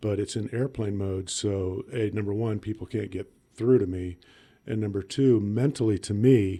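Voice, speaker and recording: At a moderate pace, a man speaks with fairly even intonation in a dark, mellow tone. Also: fairly low pitch for a man. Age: 60s. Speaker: emergency room physician. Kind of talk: casual chat.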